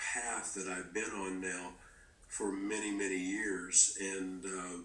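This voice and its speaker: Very deep and low, a man's voice moves at a very slow pace with monotone, flat intonation. Audible room echo fills the recording. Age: 50s. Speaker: guest speaker on faith. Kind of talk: podcast conversation. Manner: halting.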